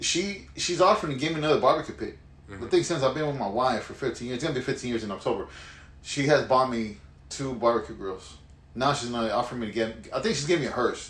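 Noticeable background noise and audible room echo surround a man with an American accent. He talks at a very fast pace with lively intonation. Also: medium pitch for a man. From Houston, Texas. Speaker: podcast co-host. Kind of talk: casual chat.

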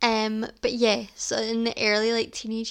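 In a Scottish accent, a woman speaks with a fairly high pitch at a fairly slow pace. The recording is very clean, with a silent background. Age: 20s. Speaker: podcast host. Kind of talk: casual solo chat.

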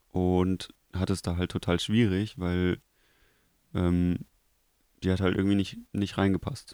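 On a very clean recording with a silent background, a man speaks in a very deep, low voice with a dark, mellow tone. His delivery is flat and monotone, very even in loudness, very slow, and broken by long, frequent pauses. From Germany, Krefeld. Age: 20s. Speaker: TV media technician. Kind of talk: casual chat.

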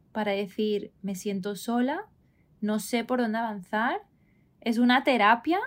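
A woman uses an ordinary speaking voice, fairly high in pitch with ordinary pitch variation. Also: very clean recording, silent background. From Spain, Barcelona. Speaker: wellness coach, podcast co-host. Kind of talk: casual conversational podcast.

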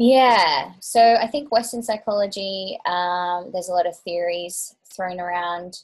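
Against a quiet background, a woman with an unremarkable speaking voice talks at a fairly slow pace, her fairly low pitch showing ordinary pitch variation. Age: 30s. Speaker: Ayurveda practitioner and teacher. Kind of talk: interview.

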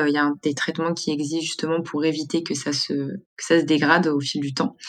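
Her intonation stays fairly even. The woman's voice is very deep and low in pitch. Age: 20s. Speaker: media co-founder living with multiple sclerosis. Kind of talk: personal testimony. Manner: hesitant, many fillers.

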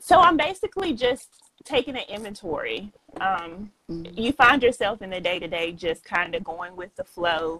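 A woman with a Southern US accent, medium pitch, moderate pace, lively intonation and big swings in loudness. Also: dry, close sound with no echo. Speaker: author and entrepreneur. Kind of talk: podcast interview.

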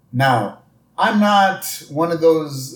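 A man speaks in a somewhat breathy voice. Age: 40s. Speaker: podcast host. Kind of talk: casual chat.

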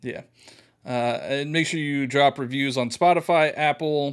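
A man's fairly high-pitched, fairly slow speech with ordinary pitch variation, in a very clean recording with a silent background. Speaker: gaming podcast co-host. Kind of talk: casual chat.

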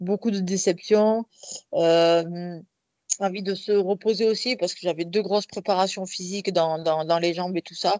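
A woman with an unremarkable speaking voice talks at a fairly slow pace, at medium pitch, with fairly even intonation. Her loudness swings widely, and the sound is dry and close with no echo against a quiet background. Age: 30s. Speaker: professional boxer and police officer. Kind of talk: interview.

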